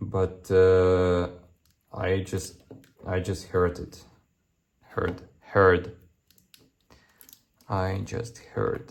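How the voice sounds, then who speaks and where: In a very deep, low voice, a man speaks at a very slow pace with monotone, flat intonation and long, frequent pauses. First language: not English. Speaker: engineer and maker youtuber. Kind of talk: tutorial. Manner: halting, many fillers and repeats.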